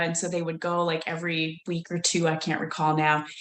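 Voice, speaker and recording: A woman speaks with an American accent at a fairly quick pace. Her pitch sits fairly low. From United States. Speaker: leadership consultant. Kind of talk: webinar presentation. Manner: hesitant, many fillers.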